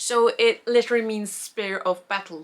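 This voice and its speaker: A woman speaks with an Icelandic accent. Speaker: knitting podcaster. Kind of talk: casual vlog chat. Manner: rambling with fillers, halting.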